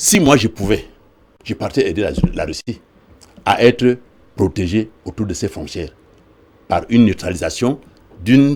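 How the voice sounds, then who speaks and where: Vocal fry runs through a man's voice as he speaks at a moderate pace. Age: 70s. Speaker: political activist. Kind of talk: TV interview. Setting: TV studio. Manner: halting, many repetitions.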